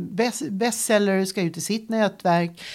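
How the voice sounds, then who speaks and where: Very slowly, a woman delivers her words. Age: 60s. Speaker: career coach. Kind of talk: interview.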